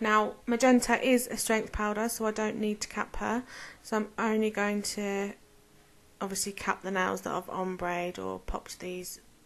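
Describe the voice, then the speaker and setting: A woman with a British accent mumbles at a moderate pace, her medium-pitched voice keeping a fairly even intonation. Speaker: nail artist. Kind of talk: tutorial. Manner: mumbling; casual.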